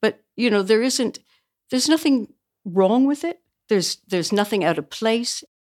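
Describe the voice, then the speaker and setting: Here is an ordinary speaking voice from a woman with a Canadian accent, fairly high in pitch with lively intonation. She talks at a moderate pace in a very clean recording with a silent background. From small-town Canada. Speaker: book publisher. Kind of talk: casual chat.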